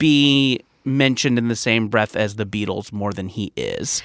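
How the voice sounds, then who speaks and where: A man with an American accent on a very clean recording against a silent background. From US West Coast, Orange County, California. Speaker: comedian. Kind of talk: casual chat.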